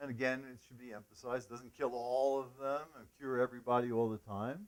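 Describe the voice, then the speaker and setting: A man speaks in a normal speaking voice at a fairly quick pace. His intonation stays fairly even while his loudness swings widely. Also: medium pitch for a man. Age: 60s. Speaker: lecturer on cannabis medicine. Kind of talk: casual interview. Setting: at home.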